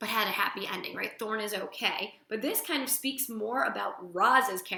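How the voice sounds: The voice reads in a natural way. It sounds like a natural reading voice from start to finish.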